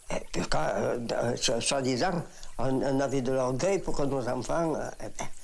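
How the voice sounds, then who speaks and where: Lively intonation comes through at a very slow pace. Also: woman. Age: old. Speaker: seamstress. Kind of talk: interview answer.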